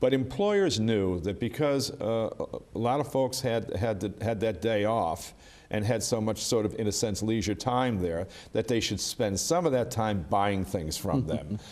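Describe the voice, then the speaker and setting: With very even loudness, a man speaks at a fairly slow pace in an unremarkable speaking voice, medium in pitch with ordinary pitch variation. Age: 60s. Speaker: union official. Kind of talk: interview.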